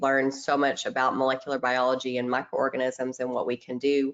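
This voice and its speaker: Speaking with a Tennessee accent, this woman has a very deep, low pitch. Her pace is moderate. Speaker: microbiologist presenting webinar. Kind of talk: webinar presentation. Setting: online webinar.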